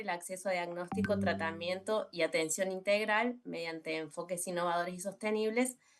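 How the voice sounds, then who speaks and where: Speaking at a moderate pace with ordinary pitch variation, a woman talks in a Córdoba Argentine accent. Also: hardly any pauses. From Argentina, Córdoba. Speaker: communicator and social health researcher. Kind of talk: presentation in a virtual panel. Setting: video call. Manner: hesitant, many fillers.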